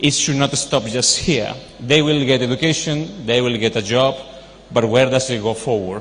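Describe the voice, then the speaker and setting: The speaker has a non-native accent and ordinary pitch variation. Room echo is audible. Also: man. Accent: foreign. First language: not Telugu, foreign. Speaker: university vice president and professor. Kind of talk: speech at charity event. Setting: stage with audience. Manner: informal, off-the-cuff.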